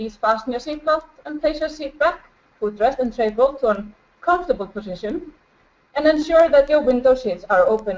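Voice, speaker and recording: The speaker talks at a fairly quick pace with an Icelandic accent. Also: woman, high pitch for a woman. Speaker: flight attendant and researcher presenting a case study. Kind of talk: webinar presentation. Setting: home, video webinar. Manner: halting.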